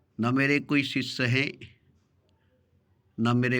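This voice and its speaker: Intonation stays fairly even as a man speaks at medium pitch. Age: 60s. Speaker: spiritual speaker. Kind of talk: spiritual discourse. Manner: repetitive phrasing.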